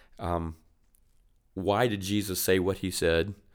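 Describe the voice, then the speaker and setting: A man with a very deep, low pitch talks at a moderate speed on a very clean recording with a silent background. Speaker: church minister co-host. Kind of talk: casual faith discussion.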